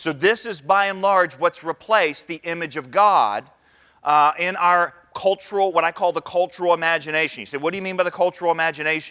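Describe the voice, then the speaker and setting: With an American accent, a man talks at a fairly quick pace in a high pitch, his tone bright and sharp and his pitch varying in an ordinary way. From Northern Virginia. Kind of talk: lecture. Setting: conference stage with audience.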